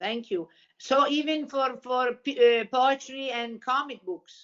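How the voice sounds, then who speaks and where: A woman speaks in an Italian accent at a high pitch. Her pace is fairly slow. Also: ordinary pitch variation. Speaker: panelist on children's books. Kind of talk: casual chat. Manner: halting.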